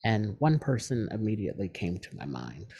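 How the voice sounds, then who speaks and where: Somewhat breathy and dark, mellow in tone, a man talks at a moderate pace with a fairly low pitch and lively intonation. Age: 40s. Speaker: podcast host. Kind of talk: personal monologue.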